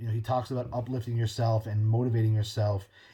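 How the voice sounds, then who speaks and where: Here a man's somewhat breathy voice sits at a medium pitch with a dark, mellow tone, on a very clean recording with a silent background. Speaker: podcast host. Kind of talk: casual monologue. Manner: fast.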